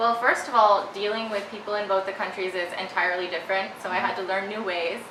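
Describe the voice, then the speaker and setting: A woman with an American accent speaks at a very fast pace with hardly any pauses, in a medium pitch and monotone, flat intonation. Noticeable background noise and audible room echo are present. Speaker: actress and model. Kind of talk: interview. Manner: hesitant, many fillers.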